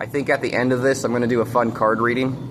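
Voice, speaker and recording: Against noticeable background noise, a man speaks in a monotone with flat intonation. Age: 30s. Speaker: vlogger. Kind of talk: casual monologue to camera. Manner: halting, many fillers.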